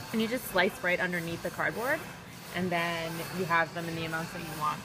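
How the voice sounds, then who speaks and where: Through noticeable background noise, the words come very fast. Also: woman. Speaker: model. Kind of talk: casual vlog talk to camera.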